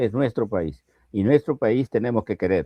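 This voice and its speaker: A man's fairly low voice with a dark, mellow tone and vocal fry moves at a moderate pace with very wide pitch swings, recorded dry and close with no echo against a quiet background. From Peru, Piura highlands. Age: 80s+. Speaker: political analyst. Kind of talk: interview. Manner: animated.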